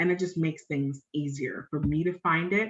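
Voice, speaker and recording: With an unremarkable speaking voice, a woman talks at a fairly quick pace in a fairly low pitch, with ordinary pitch variation. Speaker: personal finance blogger. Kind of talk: live tutorial. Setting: live stream screen share.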